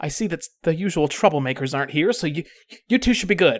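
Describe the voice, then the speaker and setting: Someone growls in a put-on character voice at middle pitch. The pace is moderate. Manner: snarling.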